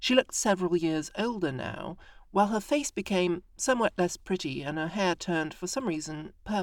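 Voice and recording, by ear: The intonation is lively. The text is read aloud in a natural voice.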